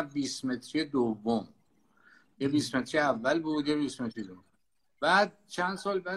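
A bright, sharp tone at a fairly slow pace. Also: man. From Tehran, Iran. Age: 70s. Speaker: sailor and desert explorer. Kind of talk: interview, storytelling.

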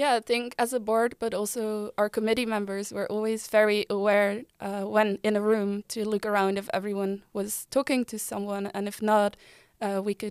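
Speaking in a Dutch accent at a medium pitch, a woman keeps a flat, monotone intonation at a moderate pace in a very clean recording with a silent background. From Netherlands (Delft). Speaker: former student board member. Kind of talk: casual chat.

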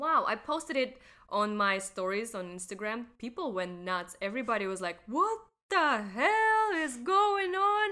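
A woman's raised, projected voice with a Russian accent, bright and sharp in tone, fairly slow with very wide pitch swings, on a very clean recording with a silent background. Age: young. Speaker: podcast co-host, teacher. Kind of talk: casual chat.

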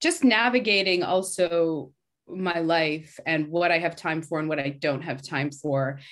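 A woman with a Canadian accent and an unremarkable speaking voice, fairly low in pitch with ordinary pitch variation, at a fairly slow pace against a quiet background. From Canada. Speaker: actor and artist. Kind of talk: casual chat.

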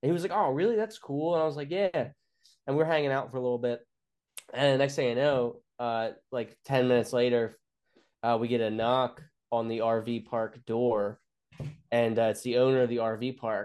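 Long, frequent pauses break up speech at a moderate pace with ordinary pitch variation against a quiet background. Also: man, medium pitch for a man. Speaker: stand-up comedian. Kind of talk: casual chat, storytelling. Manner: profane, animated storyteller.

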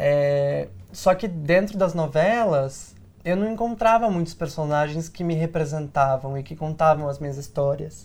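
The man has an ordinary speaking voice with a fairly high pitch. He talks at a fairly slow pace with ordinary pitch variation against a quiet background. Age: 20s. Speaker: actor and diversity consultant, online content creator. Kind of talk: interview. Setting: studio.

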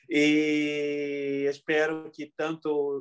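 A man against a quiet background. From southern Brazil, Porto Alegre area. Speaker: podcaster and event organizer. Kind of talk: casual chat. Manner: halting, with many repetitions.

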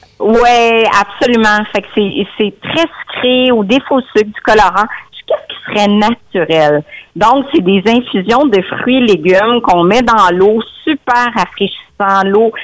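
Speaking at a very slow pace, a woman with a Quebec accent uses a fairly high pitch that varies in an ordinary way. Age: 50s. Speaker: nutritionist. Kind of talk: radio interview.

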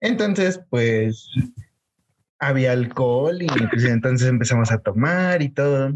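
A man talks at a fairly slow pace, leaving long, frequent pauses. His pitch is medium and his intonation is lively. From Mexico City. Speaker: podcast co-host. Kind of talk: casual chat.

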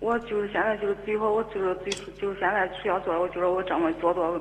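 Very fast speech from a woman at a medium pitch, fairly even in intonation, with noticeable background noise. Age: 30s. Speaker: caller seeking relationship advice. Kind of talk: phone-in advice call. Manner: halting, repeating words.

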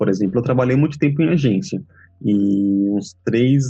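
Music plays in the background as a man speaks at a moderate pace. His medium pitch shows ordinary variation. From Bahia, Feira de Santana. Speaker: translator. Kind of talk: interview.

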